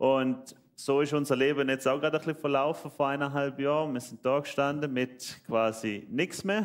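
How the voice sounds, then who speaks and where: A man with a Swiss German accent, at a fairly high pitch and a moderate pace, with ordinary pitch variation and hardly any pauses. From Switzerland. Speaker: church member. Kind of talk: testimony.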